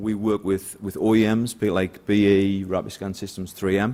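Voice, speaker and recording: On a very clean recording with a silent background, a man with a northeast English accent speaks at a fairly low pitch in a dark, mellow tone. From northeast England. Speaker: sales director. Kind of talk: conference talk.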